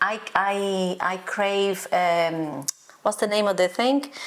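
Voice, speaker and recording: A woman at a medium pitch, very slow, with noticeable background noise. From Brazil, Minas Gerais. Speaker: channel host, cook. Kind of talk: casual interview. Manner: animated.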